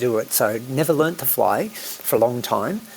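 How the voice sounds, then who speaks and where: A man speaks at medium pitch in an Australian accent, with noticeable background noise. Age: 60s. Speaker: island eco-resort operator and pilot. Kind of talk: podcast interview.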